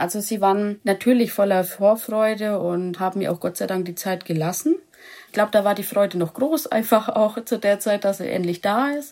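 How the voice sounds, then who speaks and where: Speaking at a moderate pace, a woman has a normal speaking voice, medium in pitch with ordinary pitch variation. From Lower Franconia, Germany. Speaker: dog owner, animal welfare volunteer. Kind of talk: interview.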